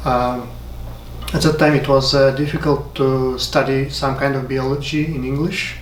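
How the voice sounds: Over audible room echo, a man talks at a moderate pace and medium pitch with little pitch movement.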